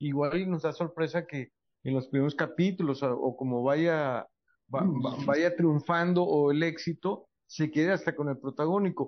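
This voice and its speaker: A man is speaking here. He goes at a fairly slow pace with fairly even intonation. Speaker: entertainment journalist panelist. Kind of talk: panel chat. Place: studio.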